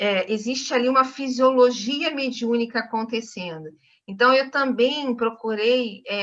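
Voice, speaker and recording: A woman speaks in a fairly high voice with a bright, sharp tone. Her pitch varies in an ordinary way over a quiet background. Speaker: nutritionist and author. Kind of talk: online talk to a study group. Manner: fast.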